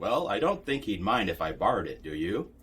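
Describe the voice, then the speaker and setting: A man's gruff, put-on character voice at a fairly quick pace. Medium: read story. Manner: curt, gruff.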